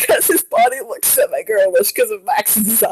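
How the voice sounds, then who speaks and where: The woman's voice comes through in a dry, close sound with no echo. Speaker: stream co-host. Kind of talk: casual chat.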